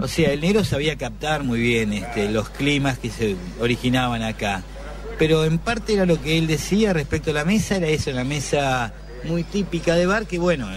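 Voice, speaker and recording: Noticeable background noise surrounds a man speaking at a moderate pace. His medium-pitched voice has lively intonation. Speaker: café owner. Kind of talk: interview. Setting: café.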